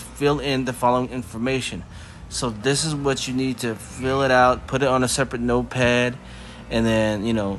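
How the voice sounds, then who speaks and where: A man with an ordinary speaking voice talks at a medium pitch and moderate pace, his intonation fairly even. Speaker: crypto tutorial youtuber. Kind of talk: tutorial. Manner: casual, filler-heavy.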